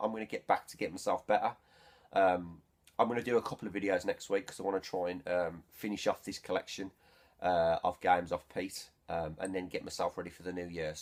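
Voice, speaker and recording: A put-on character voice from a man, very deep and low, husky, hoarse and raspy, with fairly even intonation at a fairly quick pace. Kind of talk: casual, signing off a video.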